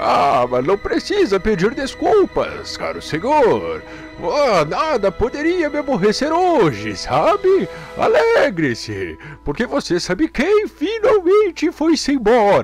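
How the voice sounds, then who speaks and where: A man speaks in a put-on character voice at a fairly slow pace. Clear music plays in the background. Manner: overjoyed, cheerful.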